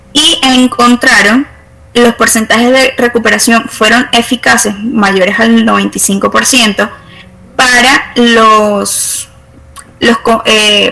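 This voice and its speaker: Over noticeable background noise, a woman talks very slowly in a fairly high pitch with fairly even intonation. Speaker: university chemistry lecturer. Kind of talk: online lecture. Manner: halting, many fillers.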